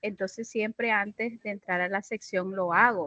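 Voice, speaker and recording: A woman speaks at a moderate pace. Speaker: teacher in a course for educators. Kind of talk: casual class discussion.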